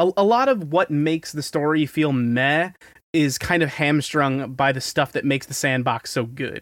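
On a very clean recording with a silent background, a man uses a normal speaking voice at a moderate pace, his fairly high pitch showing ordinary pitch variation. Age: 20s. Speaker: podcast co-host. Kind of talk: casual chat.

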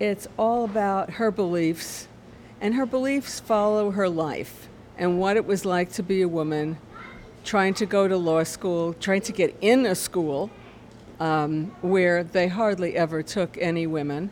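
A woman with an American accent speaks at a fairly slow pace, medium pitch and ordinary pitch variation. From Brooklyn, New York. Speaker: book group member.

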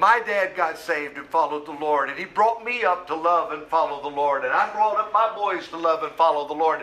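Noticeable background noise accompanies a man who talks fairly quickly at a high pitch with ordinary pitch variation and hardly any pauses. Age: 60s. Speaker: pastor. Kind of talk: sermon.

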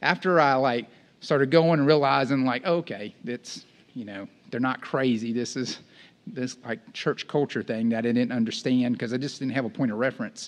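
A man talks at a fairly quick pace with lively intonation. His pitch sits in the medium range. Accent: Texan. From East Texas. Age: 40s. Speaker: campus ministry director, guest preacher. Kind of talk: sermon. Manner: casual, conversational.

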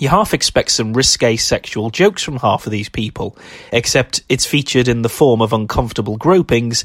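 A man's medium-pitched voice at a moderate pace, dry and close with no echo, over noticeable background noise. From Wales. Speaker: podcast host, horror film critic. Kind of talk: scripted narration.

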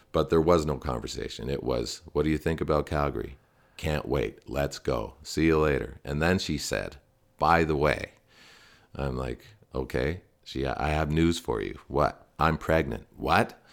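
A man with a Canadian accent, a very deep, low pitch and vocal fry, fairly even intonation at a fairly slow pace, on a very clean recording with a silent background. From Ontario, Canada (Stouffville). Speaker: sports reporter. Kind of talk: casual chat.

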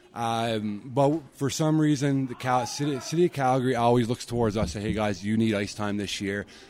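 At a fairly quick pace, a man talks in an ordinary speaking voice at a medium pitch with ordinary pitch variation. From Newfoundland, Canada (Corner Brook). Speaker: sports association president. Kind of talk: interview.

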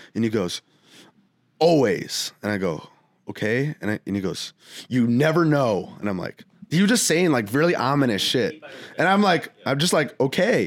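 At a moderate pace, a man talks with a fairly high pitch, very wide pitch swings, vocal fry, and long, frequent pauses. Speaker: music producer and artist. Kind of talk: casual chat.

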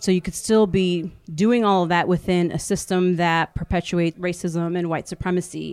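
Recorded very cleanly against a silent background, an ordinary speaking voice moves at a moderate pace with fairly even intonation. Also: woman. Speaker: homeschooling organization founder. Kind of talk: recorded personal story.

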